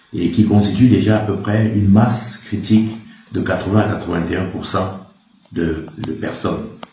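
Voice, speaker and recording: Amid audible room echo, a man with a fairly low pitch speaks at a moderate pace and fairly even intonation, with long, frequent pauses. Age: 60s. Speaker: retired army officer. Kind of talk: interview. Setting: in his office.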